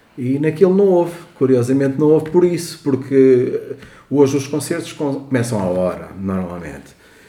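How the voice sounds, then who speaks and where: A man speaks at a moderate pace in a fairly high pitch with lively intonation. Noticeable background noise and audible room echo surround him. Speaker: podcast co-host. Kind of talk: casual chat.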